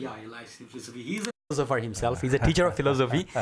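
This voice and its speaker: Speaking with lively intonation, a man uses a fairly high voice. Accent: Chittagong. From Chittagong, Bangladesh. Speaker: graduate student, interviewer. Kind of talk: interview questions.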